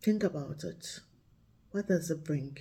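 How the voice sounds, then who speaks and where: A woman talks with a Ghanaian accent in a somewhat breathy voice. Her tone is dark and mellow, with ordinary pitch variation. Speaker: vlogger and storyteller. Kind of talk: casual reflective talk to camera. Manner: relaxed, thoughtful.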